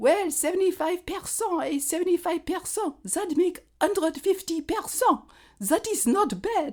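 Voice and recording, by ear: A female-sounding voice puts on a character voice with a strong French accent, pitched extremely high. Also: moderate pace. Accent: thick French.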